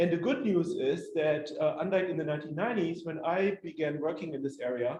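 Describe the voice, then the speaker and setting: A man with a German accent speaks at a fairly quick pace with hardly any pauses. His pitch is high with ordinary variation, and the room echo is audible. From northwest Germany. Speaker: historian. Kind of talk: lecture. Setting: community hall with audience. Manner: halting, many fillers.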